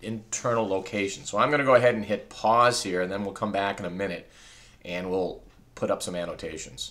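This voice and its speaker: A man talks at a fairly quick pace in a fairly low pitch. His tone is bright and sharp, and his intonation fairly even. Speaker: teacher. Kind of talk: tutorial.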